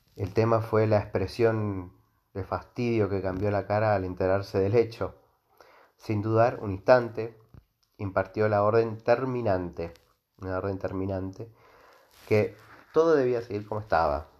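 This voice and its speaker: A man with a fairly low pitch at a fairly slow pace, fairly even in intonation, against a quiet background. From Argentina, Mendoza. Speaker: history podcaster. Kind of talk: storytelling monologue. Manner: halting, many fillers and repetitions.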